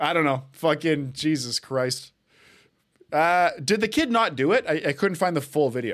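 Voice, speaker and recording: In a very clean recording with a silent background, a man with a Canadian accent and an ordinary speaking voice talks at a moderate pace, his fairly high pitch carrying lively intonation. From Canada, Edmonton, Alberta. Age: 20s. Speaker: podcast host. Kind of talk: casual chat.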